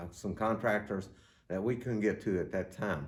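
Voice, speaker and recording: The room echoes audibly around a man talking at a mid-range pitch. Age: 70s. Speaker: church elder. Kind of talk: guided tour. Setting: indoors, church building.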